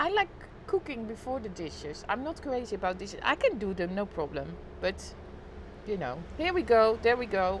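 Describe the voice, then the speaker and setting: At a moderate pace, a woman with a Dutch accent speaks with a fairly high pitch and very wide pitch swings. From Netherlands. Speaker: live streamer. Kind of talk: casual chat. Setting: live stream on balcony.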